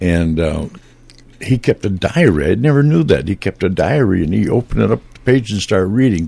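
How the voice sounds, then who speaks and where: With a very deep, low pitch and a dark, mellow tone, a man speaks at a moderate pace with lively intonation and big swings in loudness. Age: 80s. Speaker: retired radio broadcaster, station founder. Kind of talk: casual chat. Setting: studio. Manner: halting.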